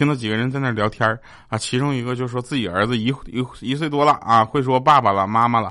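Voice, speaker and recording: A man speaks very fast at a medium pitch, his tone bright and sharp. His pitch varies in an ordinary way over a quiet background. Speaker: comedy podcast host. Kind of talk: comedic monologue. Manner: stumbling over words.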